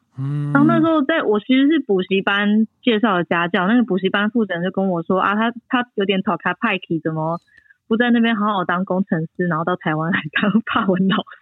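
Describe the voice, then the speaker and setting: A woman's plain, everyday voice, medium in pitch, with lively intonation at a fairly quick pace. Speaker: winemaker. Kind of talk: casual interview. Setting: remote call from France.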